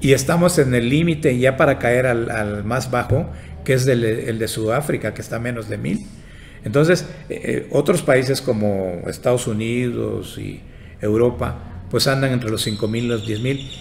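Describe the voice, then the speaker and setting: A man at a medium pitch with ordinary pitch variation and a moderate pace, with music in the background. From Yucatán, Mexico. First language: Yucatec Maya (speaking Spanish). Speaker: engineer and institute director. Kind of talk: interview.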